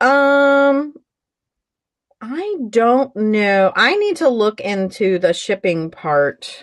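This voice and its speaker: Loud and very slow, a woman speaks at a fairly high pitch with very wide pitch swings. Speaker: online seller hosting a live auction. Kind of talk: live-stream sales show. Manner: casual, chatty.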